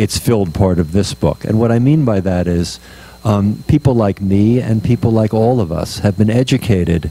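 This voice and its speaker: There is noticeable background noise as a man speaks at a fairly low pitch. His pace is moderate and his pitch variation ordinary. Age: 60s. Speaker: author. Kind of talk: book talk. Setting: bookstore event with audience. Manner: hesitant, many fillers.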